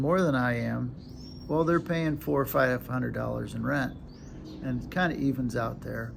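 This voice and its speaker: A man with an American accent at a moderate pace, in audible room echo. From United States. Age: 60s. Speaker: retired vlogger. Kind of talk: casual vlog. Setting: at home, handheld camera. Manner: halting.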